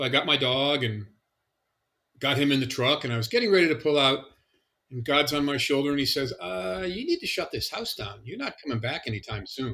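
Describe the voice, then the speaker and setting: Here a man talks at a fairly quick pace with lively intonation. His voice is fairly high, with a bright, sharp tone. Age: 60s. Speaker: patient sharing illness story. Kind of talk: testimony. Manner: casual, with fillers.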